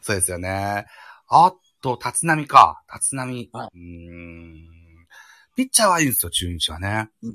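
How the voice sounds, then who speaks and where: A man speaks fairly slowly with a bright, sharp tone, very wide pitch swings and big swings in loudness. The recording is very clean, with a silent background and a dry, close sound with no echo. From Japan, Shimane (Matsue). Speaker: podcast host. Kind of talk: casual chat. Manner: hesitant, many fillers.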